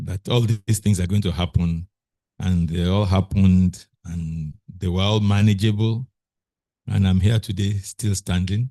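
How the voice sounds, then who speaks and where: A man with a Nigerian accent speaks at a fairly slow pace in a very deep, low pitch, his tone dark and mellow and his intonation fairly even, with a dry, close sound and no echo. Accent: Nigerian (Yoruba) English. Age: 70s. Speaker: language technology researcher. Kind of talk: interview conversation.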